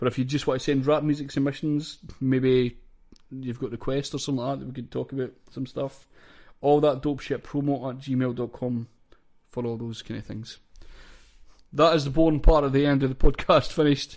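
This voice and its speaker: In a Scottish accent, a man speaks at a moderate pace and medium pitch with monotone, flat intonation and big swings in loudness. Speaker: podcast host. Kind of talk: casual chat.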